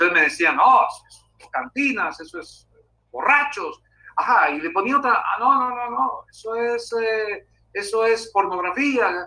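A man talks at an extremely high pitch with very wide pitch swings and big swings in loudness. His pace is fairly slow, broken by long, frequent pauses. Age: 50s. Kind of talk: interview.

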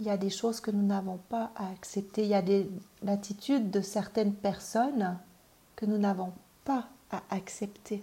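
A woman's dark, mellow tone carries a somewhat breathy quality. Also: medium pitch for a woman, fairly even intonation. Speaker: parenting and personal development coach. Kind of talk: personal development video talk. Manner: hesitant, many fillers and repetitions.

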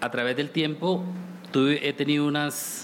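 A man speaks slowly-ish, at a fairly slow pace, with a llanero Colombian accent. His pitch is fairly high, and noticeable background noise is present. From Colombia, Casanare (Llanos). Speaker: folk singer. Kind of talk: panel discussion.

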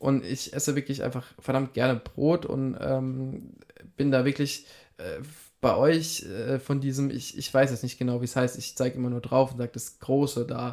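In a flat monotone, a man talks at a medium pitch and a moderate pace. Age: 20s. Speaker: shopfitting entrepreneur in family business. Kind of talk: casual interview.

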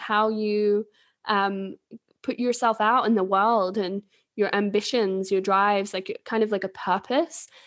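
A woman speaks at a fairly high pitch in an English accent. The background is quiet. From England. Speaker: human design reader and podcast co-host. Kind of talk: casual chat.

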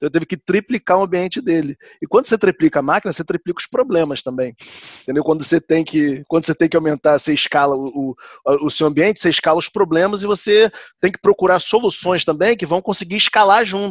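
Dry and close with no echo, a man's high-pitched voice races along at a very fast pace. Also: ordinary pitch variation. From Rio de Janeiro, Brazil. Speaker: IT analyst. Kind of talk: casual group discussion.

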